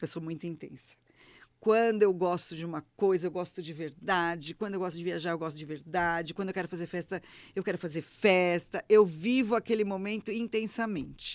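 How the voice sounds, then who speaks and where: In a very clean recording with a silent background, a woman speaks at a fairly quick pace and fairly low pitch in an animated tone, with ordinary pitch variation and big swings in loudness. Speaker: retired teacher and travel influencer. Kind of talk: casual chat.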